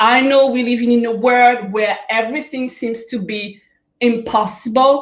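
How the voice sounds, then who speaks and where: A woman's high-pitched voice with a French Caribbean accent, at a fairly slow pace with ordinary pitch variation. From Guadeloupe. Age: young. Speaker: life coach. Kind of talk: motivational talk. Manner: hesitant, many fillers.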